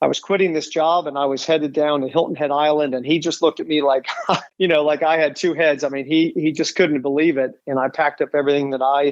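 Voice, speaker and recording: Fast and flat, a man speaks in a monotone at a very fast pace. His pitch is fairly high for a man. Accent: American. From US Midwest, Dayton, Ohio. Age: 50s. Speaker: real estate broker. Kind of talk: podcast interview. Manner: halting, many fillers and repetitions.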